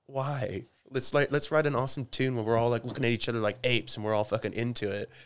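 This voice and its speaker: Speaking very fast with an Oklahoma accent, a man at medium pitch keeps his intonation fairly even, on a very clean recording with a silent background. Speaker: rock guitarist. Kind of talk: casual chat. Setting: garage. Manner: halting.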